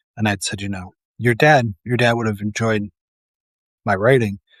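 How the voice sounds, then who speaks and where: A man with an American accent speaks fairly quickly in a flat monotone at a fairly low pitch, recorded dry and close with no echo, very clean and with a silent background. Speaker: paramedic and commentary host. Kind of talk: casual solo commentary. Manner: loud; halting, many fillers and restarts.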